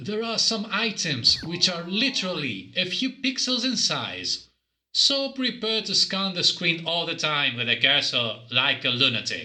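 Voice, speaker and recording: A man with a bright, sharp tone projects a raised voice at a high pitch, speaking fairly slowly with very wide pitch swings. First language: not English. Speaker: game reviewer. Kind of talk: scripted review narration.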